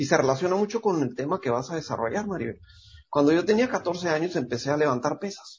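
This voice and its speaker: With lively intonation and a somewhat breathy tone, this man's fairly high voice moves at a fairly quick clip. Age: 50s. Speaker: podcast co-host, fitness author. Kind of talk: casual chat.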